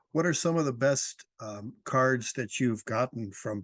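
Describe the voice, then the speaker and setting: A man with a normal speaking voice, medium in pitch, with ordinary pitch variation, at a fairly slow pace, in a dry, close recording with no echo. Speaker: interviewer. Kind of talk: interview questions.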